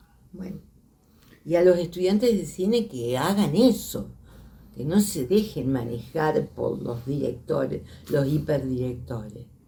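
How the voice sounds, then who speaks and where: With an Argentine accent, a woman speaks at a fairly slow pace in a very deep, low voice with vocal fry and very wide pitch swings, and audible room echo surrounds her. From Argentina, Santa Fe province. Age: 80s+. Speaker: filmmaker and teacher. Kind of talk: interview testimony. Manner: halting.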